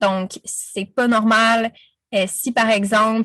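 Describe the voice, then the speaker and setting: Against a quiet background, a woman speaks in a fairly high, somewhat breathy voice with monotone, flat intonation. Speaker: business coach. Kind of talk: interview. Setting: podcast.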